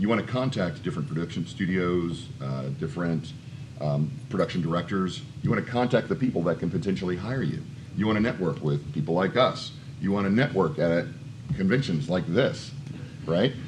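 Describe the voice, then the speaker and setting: Over noticeable background noise, a man with a very deep, low pitch talks at a fairly quick pace, and his pitch swings very widely. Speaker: voice acting coach. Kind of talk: conference panel talk. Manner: casual, conversational.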